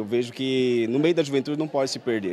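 A man's voice with ordinary pitch variation, recorded dry with no echo, has light background noise behind it. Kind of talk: interview answer. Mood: earnest, serious. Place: hall. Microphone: handheld.

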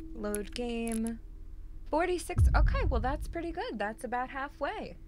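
A woman speaks at a fairly slow pace in a high voice with very wide pitch swings, over noticeable background noise. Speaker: game streamer. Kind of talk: live gameplay commentary. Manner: casual, chatty. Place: home room.

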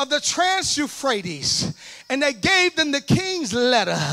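In a Southern US accent, a man talks in a raised, projected voice with an extremely high pitch. His tone is animated. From US South, Alabama. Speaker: preacher. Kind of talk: sermon. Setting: church with live congregation. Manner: animated, call-and-response, urging the crowd to shout back; conversational, direct to the congregation. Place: church. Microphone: handheld.

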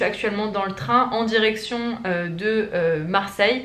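A woman speaks with fairly even intonation in a room with audible echo. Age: 20s. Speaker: lifestyle vlogger. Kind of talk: casual vlog talk to camera. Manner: hesitant, many fillers. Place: home room. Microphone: phone near.

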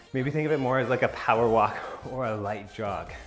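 A man at a moderate pace with ordinary pitch variation, faint music in the background. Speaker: fitness instructor. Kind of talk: workout instruction. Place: home room. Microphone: camera far.

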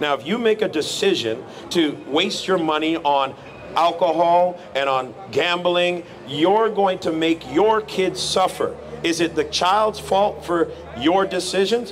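A man's high voice at a fairly slow pace with very even loudness, over light background noise. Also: ordinary pitch variation. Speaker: street preacher. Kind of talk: street preaching, answering a passer-by's challenge about suffering. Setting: outdoors. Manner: earnest, firm, lecturing, at times sympathetic. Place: street. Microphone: handheld.

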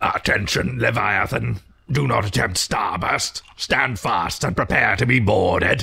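A booming, raspy put-on character voice from a man at a fairly slow pace. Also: medium pitch for a man. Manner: commanding, menacing.

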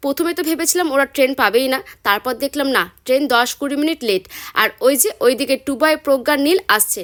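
Dry and close with no echo, a woman's high-pitched voice carries lively intonation in a West Bengal accent. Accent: Bengali (West Bengal). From West Bengal, India (Murshidabad). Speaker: food and travel vlogger. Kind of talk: vlog narration.

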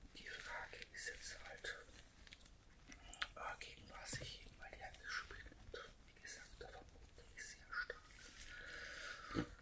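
A woman whispers at a very slow pace. Noticeable background noise is audible. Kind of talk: casual talk to camera about her health. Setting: audio only, microphone recording. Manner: whispered, soft-spoken.

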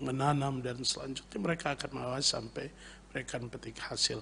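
Over light background noise, a man speaks in a plain, everyday voice, fairly high in pitch with ordinary pitch variation. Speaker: pastor. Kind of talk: radio interview. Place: studio. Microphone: studio mic.

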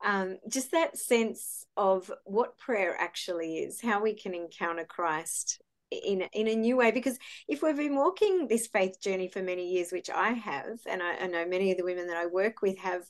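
This woman talks at a moderate pace in a plain, everyday voice. Her pitch sits in the middle range with ordinary variation. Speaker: podcast host. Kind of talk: interview question.

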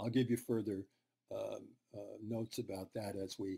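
Over a quiet background, a man speaks in a somewhat breathy voice with a dark, mellow tone. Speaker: university lecturer. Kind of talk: lecture. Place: home room. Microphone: webcam.

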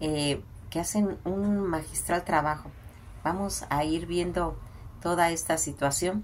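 A woman speaks very slowly in a fairly low voice, her loudness very even and her intonation fairly level, with light noise in the background. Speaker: film commentator. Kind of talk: casual commentary on old films. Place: home room. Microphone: phone near.

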